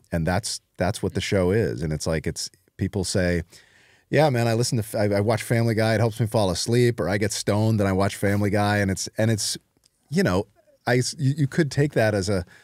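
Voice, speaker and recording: A man talks at a fairly quick pace in a fairly low pitch with ordinary pitch variation. The sound is dry with no echo, over a quiet background. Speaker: interview guest. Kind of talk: interview answer. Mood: relaxed, amused. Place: studio. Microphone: studio mic.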